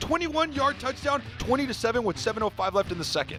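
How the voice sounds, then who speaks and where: A loud, very fast man with an extremely high pitch, animated tone and lively intonation, music in the background. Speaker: sports show co-host. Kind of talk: sports highlight narration.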